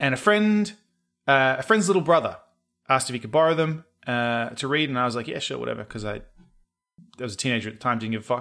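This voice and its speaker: A man with an Australian accent talks at a very fast pace and medium pitch, with lively intonation and long, frequent pauses as music plays in the background. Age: 30s. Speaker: podcast co-host. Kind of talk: casual chat.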